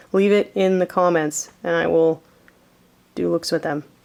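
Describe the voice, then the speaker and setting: Speech at a moderate pace amid noticeable background noise. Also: woman. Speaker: beauty YouTuber and burlesque performer. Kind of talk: casual vlog talk to camera. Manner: animated.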